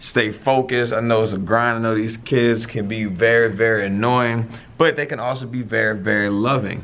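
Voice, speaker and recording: A man's medium-pitched voice at a moderate pace, fairly even in intonation with hardly any pauses, with audible room echo and noticeable background noise. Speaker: high school teacher, vlogger. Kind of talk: casual vlog.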